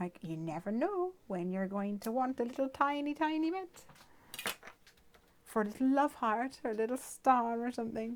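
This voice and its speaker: Speaking at a moderate pace in an Irish accent, a woman uses a high pitch with very wide pitch swings. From Ireland. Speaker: craft video host. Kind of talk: tutorial; casual chat.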